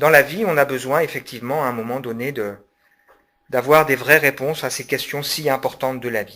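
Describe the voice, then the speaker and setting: A man at medium pitch talks at a moderate pace with ordinary pitch variation and big swings in loudness. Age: 40s. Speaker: pastor and public speaker. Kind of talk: public lecture. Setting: conference hall with audience. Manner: hesitant, many fillers.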